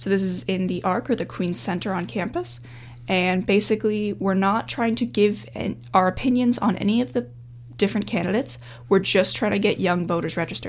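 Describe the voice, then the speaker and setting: A woman with a Canadian accent speaks at a fairly quick pace, her medium-pitched voice showing some vocal fry. Her intonation is lively. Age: 20s. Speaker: university student and climate activist. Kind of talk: interview.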